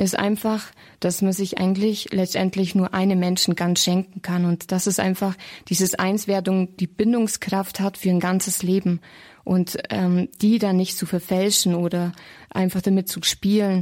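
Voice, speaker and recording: A woman at a fairly slow pace, flat and monotone, on a very clean recording with a silent background. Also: medium pitch for a woman. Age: 30s. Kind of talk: radio interview.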